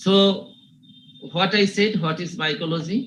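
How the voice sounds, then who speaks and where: A man is talking. He has a Bengali accent. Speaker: university teacher. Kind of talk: lecture. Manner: slow, repetitive.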